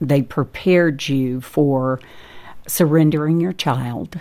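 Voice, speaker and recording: A woman speaks with an American accent at a very slow pace. Her pitch is very deep and low, with ordinary variation. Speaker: restaurant owner and birth mother. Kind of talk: testimony. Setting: studio.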